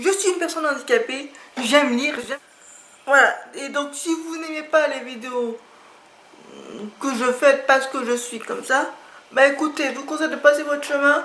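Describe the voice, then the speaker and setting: A woman's voice with long, frequent pauses, ordinary pitch variation and big swings in loudness, amid noticeable background noise and audible room echo. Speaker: YouTuber presenting books and art supplies. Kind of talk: casual vlog talk to camera. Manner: slow; halting, with filler hesitations.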